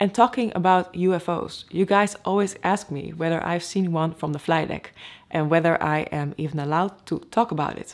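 A woman speaks at a moderate pace with an unremarkable speaking voice. Her pitch is fairly low, with ordinary variation. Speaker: airline pilot vlogger. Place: home room.

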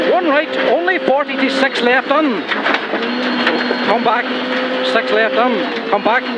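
The pace is very slow, with hardly any pauses and a calm tone. Loud background noise runs behind the voice. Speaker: rally co-driver. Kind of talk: rally pace notes read aloud to the driver. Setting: in a rally car. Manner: urgent, focused, calm-but-driving, with short encouraging praise at the end. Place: car. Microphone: helmet.

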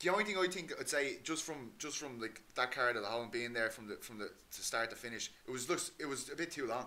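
With an Irish accent, a man rattles along at a very fast pace with hardly any pauses, his tone bright and sharp and his intonation lively. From Ireland. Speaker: MMA podcast host. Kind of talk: casual chat. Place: home room.

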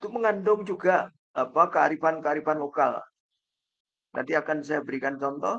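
Against a quiet background, a man with an unremarkable speaking voice talks at a moderate pace and fairly high pitch, with ordinary pitch variation. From Indonesia, East Java (Kertosono); East Java, Indonesia. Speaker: professor. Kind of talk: lecture. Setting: video call. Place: home room.

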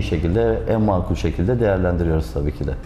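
Audible room echo and light background noise surround the voice. A man talks at a fairly quick pace. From Aegean Turkey. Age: 30s. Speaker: real estate agent. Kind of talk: interview. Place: office.

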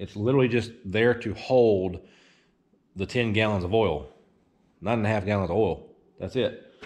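Pitch rises and falls in an ordinary way while the words come at a moderate pace. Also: man. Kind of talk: casual vlog chat. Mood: defensive, dismissive of critics. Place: workshop. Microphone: phone near.

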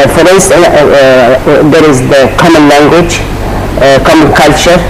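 A man speaks over loud background noise. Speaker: guest. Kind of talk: interview answer. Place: studio.

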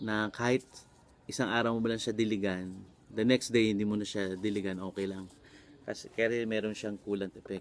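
At a fairly quick pace, a man delivers his words in a monotone, flat way at a fairly low pitch. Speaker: vlogger and voice coach. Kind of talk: casual vlog tutorial. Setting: outdoors in a garden.

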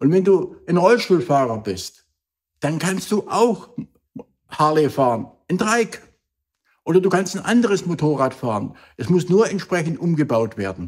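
A man talks at a fairly slow pace with very wide pitch swings. Long, frequent pauses break up his speech over a quiet background. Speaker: motivational speaker. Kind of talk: motivational vlog talk. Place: home room.

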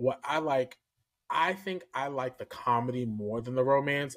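A man is talking at a moderate pace. Behind him, everything is quiet. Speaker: podcast co-host. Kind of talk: casual podcast chat. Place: home room.

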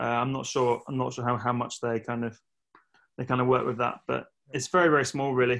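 A man speaks with an English accent in monotone, flat intonation. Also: quiet background. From England. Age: 30s. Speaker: retired professional triathlete; coach interviewed. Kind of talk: casual interview. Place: home room. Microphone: video call.

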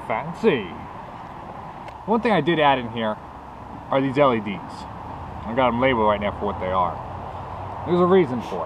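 With very wide pitch swings, a man speaks over noticeable background noise. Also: medium pitch for a man. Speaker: motorcycle builder, DIY mechanic. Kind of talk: casual workshop talk to camera.

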